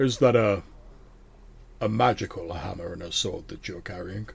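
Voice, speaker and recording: A man puts on a character voice at a fairly low pitch. He speaks at a moderate pace. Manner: less demonic, calmer than before.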